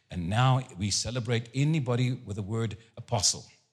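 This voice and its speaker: Against a silent background on a very clean recording, a man talks in an animated tone with a medium-pitched, somewhat breathy voice. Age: 70s. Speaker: guest preacher. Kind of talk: sermon. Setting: church service with congregation.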